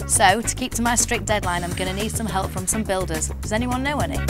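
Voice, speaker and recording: A woman talking at a very fast pace over background music. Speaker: TV presenter. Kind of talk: TV property show presenting.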